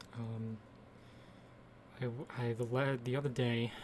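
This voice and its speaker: A man talks at a fairly slow pace, his pitch medium. His voice comes across somewhat breathy. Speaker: artist narrating own speed drawing. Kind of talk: casual voiceover commentary. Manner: hesitant, many fillers.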